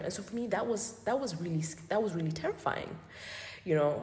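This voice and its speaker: A woman talks at a moderate pace with lively intonation, over noticeable background noise and audible room echo. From Botswana. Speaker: sociologist and gallery owner. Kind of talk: interview conversation. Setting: gallery, in person. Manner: hesitant, many fillers.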